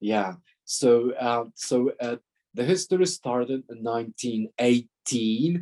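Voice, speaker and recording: A man with a Polish accent, medium pitch and ordinary pitch variation, at a very slow pace in a dry, close sound with no echo. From Poland. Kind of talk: talk with Q&A. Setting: video call. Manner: halting.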